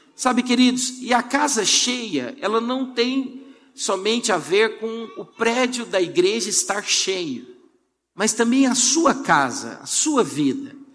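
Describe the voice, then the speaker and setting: A man with an extremely high pitch and lively intonation, very slow pace and audible room echo. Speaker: pastor. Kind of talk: sermon. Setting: church.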